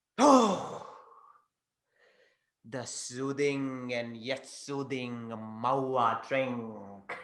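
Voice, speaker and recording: Putting on a character voice at a medium pitch, a man talks at a very slow pace with long, frequent pauses and slight echo. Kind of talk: ritual possession theatre. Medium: stage play. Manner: commanding, taunting.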